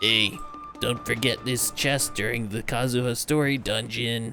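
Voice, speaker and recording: Over clear background music, a man does a put-on character voice at a medium pitch and moderate pace. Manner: exaggerated, weird, affected.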